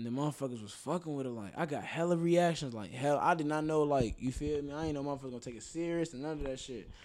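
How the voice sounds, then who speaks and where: Very fast delivery with hardly any pauses and ordinary pitch variation. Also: man, fairly high pitch for a man. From Chicago north side (Rogers Park). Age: young. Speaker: rapper. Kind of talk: casual interview chat.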